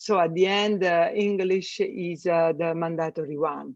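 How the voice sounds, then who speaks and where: A woman with an Italian accent speaks at a fairly slow pace and medium pitch, her intonation fairly even. The sound is dry and close with no echo, and the background is quiet. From Italy. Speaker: space systems engineer. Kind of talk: podcast interview. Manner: halting, many fillers.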